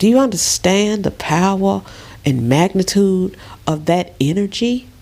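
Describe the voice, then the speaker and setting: A woman speaks at a fairly slow pace in a Southern US accent. Her loudness stays very even throughout. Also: medium pitch for a woman, lively intonation. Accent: southern US drawl. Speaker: spiritual vlogger. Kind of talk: casual vlog monologue. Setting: lying in bed in a dark room. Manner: animated.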